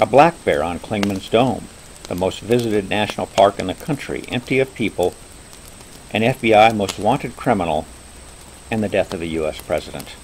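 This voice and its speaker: With noticeable background noise behind him, a man speaks at a fairly quick pace and fairly low pitch, leaving long, frequent pauses. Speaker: overlander, hiker. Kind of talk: campfire storytelling narration. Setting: outdoors by a campfire, nature sounds.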